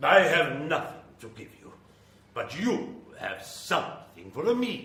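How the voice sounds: A man does a put-on character voice at a slow pace. His pitch is fairly high, with very wide pitch swings and a bright, sharp tone.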